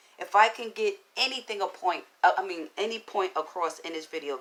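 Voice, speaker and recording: A woman's raspy put-on character voice at medium pitch and a fairly quick pace. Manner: stuttering.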